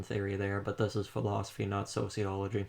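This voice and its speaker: A man at a very fast pace with a fairly low pitch. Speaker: student doing a class assignment. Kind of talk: casual discussion. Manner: monotone.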